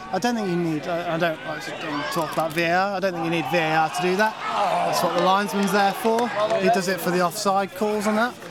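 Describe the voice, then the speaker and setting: The speech moves at a fairly quick pace. Crowd noise fills the background. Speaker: podcast host. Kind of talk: casual banter.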